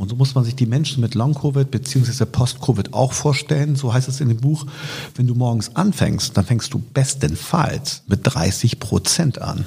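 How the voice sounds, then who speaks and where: Somewhat breathy, dark and mellow, a man's medium-pitched voice at a moderate pace. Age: 50s. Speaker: politician and podcast co-host. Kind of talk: casual interview.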